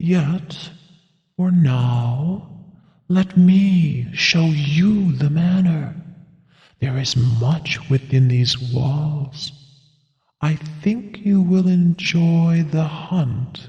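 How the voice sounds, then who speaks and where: A man puts on a character voice and speaks very slowly. A clear echo surrounds the voice. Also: fairly high pitch for a man. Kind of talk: gothic ghost story. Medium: audio drama. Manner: measured, old-fashioned phrasing.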